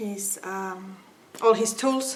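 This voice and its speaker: A woman with a non-native accent speaks amid audible room echo. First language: not English. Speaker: craft tutorial maker. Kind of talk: tutorial. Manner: halting, many filler sounds.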